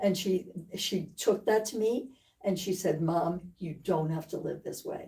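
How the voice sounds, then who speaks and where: A woman speaks fairly slowly at medium pitch with ordinary pitch variation, her voice dark, mellow and somewhat breathy. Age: 80s+. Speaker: patient. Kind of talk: testimony.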